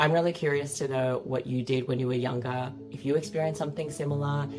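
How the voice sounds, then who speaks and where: Music plays in the background as a woman speaks with an Australian accent. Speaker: social media creator. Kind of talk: personal reflection to camera.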